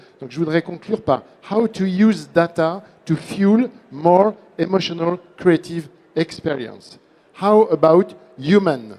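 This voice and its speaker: A man with a high pitch speaks at a fairly slow pace with ordinary pitch variation and long, frequent pauses, over noticeable background noise. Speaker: conference president. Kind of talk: panel discussion. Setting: conference stage with audience. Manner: hesitant, many fillers.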